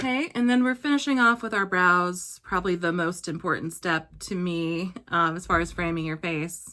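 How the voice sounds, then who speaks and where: In a fairly low voice with a bright, sharp tone, a woman talks at a moderate pace with lively intonation and hardly any pauses. The recording is very clean, with a silent background. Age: 30s. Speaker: beauty vlogger. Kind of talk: tutorial. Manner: quiet.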